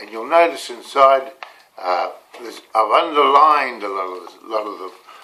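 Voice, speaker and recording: With a New Zealand accent, a man speaks at a moderate pace. Noticeable background noise is present. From New Zealand, rural Canterbury/Otago. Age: 70s. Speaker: motivational coach. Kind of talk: casual personal storytelling to camera. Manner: halting, many fillers and repeats.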